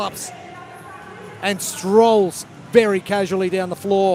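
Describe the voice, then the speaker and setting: A man talks at a high pitch in a flat monotone. Noticeable background noise sits behind him. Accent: New Zealand. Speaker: sports commentator. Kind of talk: live commentary.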